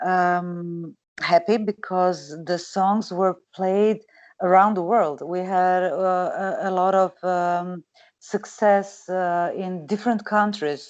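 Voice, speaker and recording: A woman's medium-pitched voice with a Croatian accent, very slow and fairly even, in a quiet background. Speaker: singer. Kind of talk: interview. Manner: halting.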